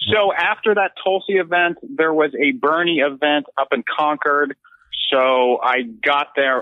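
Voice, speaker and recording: At a moderate pace and with lively intonation, this is a normal speaking voice. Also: man. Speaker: political field reporter. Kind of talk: casual chat. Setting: remote call.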